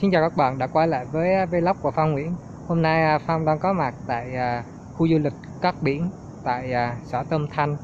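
Noticeable background noise accompanies a man speaking. His pace is fairly slow and his intonation fairly even. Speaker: travel vlogger. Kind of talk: casual vlog chat. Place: garden. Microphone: phone near.

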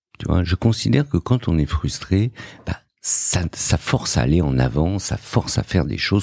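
A man's very deep, low voice with vocal fry and very wide pitch swings, at a moderate pace, in a dry, close sound with no echo. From Morocco, raised in Paris suburbs. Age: 50s. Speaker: entrepreneur and investor. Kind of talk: interview. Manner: hesitant, many fillers.

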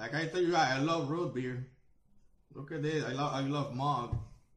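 Audible room echo surrounds a man's voice. He keeps a moderate pace and ordinary pitch variation. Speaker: food reviewer. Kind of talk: casual vlog chat. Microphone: webcam.

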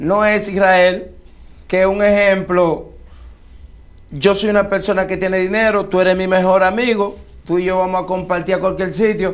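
Amid audible room echo, a man with a high pitch speaks in a flat monotone, leaving long, frequent pauses. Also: moderate pace. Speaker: local political candidate, former baseball player. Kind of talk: interview.

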